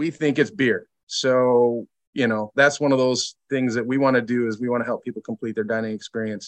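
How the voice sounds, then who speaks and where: With an Upper Midwest accent, a man of medium pitch speaks at a moderate pace with hardly any pauses and fairly even intonation, the sound dry and close with no echo. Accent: Upper Midwest American. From Michigan, Lansing. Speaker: brewery sales director. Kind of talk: casual interview chat.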